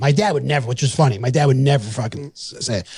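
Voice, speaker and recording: A man with a New York accent speaks in an animated tone that is somewhat breathy. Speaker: podcast host. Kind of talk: casual chat.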